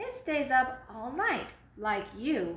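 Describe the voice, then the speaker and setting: A woman puts on a high-pitched character voice. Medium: read story. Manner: sleepy, matter-of-fact.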